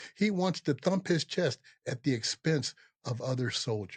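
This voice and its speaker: A man with an American accent, a somewhat breathy voice, lively intonation and a moderate pace, with a dry, close sound, no echo and a quiet background. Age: 70s. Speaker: podcast host, army veteran. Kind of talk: political commentary monologue. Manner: impassioned.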